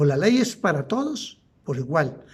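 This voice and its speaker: At a fairly slow pace, a man speaks with very wide pitch swings, and audible room echo surrounds his voice. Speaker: law lecturer. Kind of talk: lecture.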